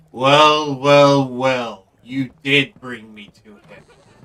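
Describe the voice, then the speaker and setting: A man in a put-on character voice, gravelly and medium-pitched, very slow and monotone with flat intonation. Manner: menacing, gloating.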